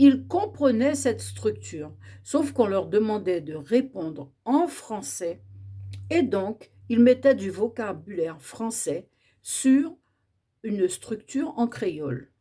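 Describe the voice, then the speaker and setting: Speaking very slowly at a medium pitch, a woman uses vocal fry and very wide pitch swings in a dark, mellow tone. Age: 60s. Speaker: educator on Creole language. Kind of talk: educational talk.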